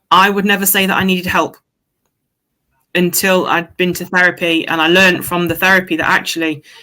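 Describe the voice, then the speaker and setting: Bright, sharp tone from a woman with an East Midlands accent, fairly low in pitch, with ordinary pitch variation. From Derby, English East Midlands. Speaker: football fan. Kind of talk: casual chat.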